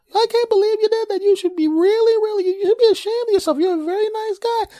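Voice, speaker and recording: A man uses a put-on character voice. It is extremely high in pitch and very fast. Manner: scolding, disapproving.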